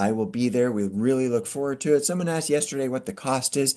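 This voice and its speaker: An unremarkable speaking voice from a man at medium pitch, over a quiet background. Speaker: podcast host and community group founder. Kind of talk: casual monologue with event announcements. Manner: casual, with many fillers.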